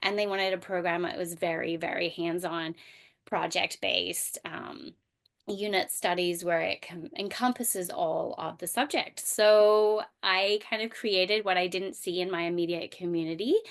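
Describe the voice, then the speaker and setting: The speaker talks in an Australian accent with ordinary pitch variation. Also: woman, medium pitch for a woman, moderate pace. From Australia, rural bush. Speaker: homeschooling mom and microschool founder. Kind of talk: podcast interview. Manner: hesitant, many fillers.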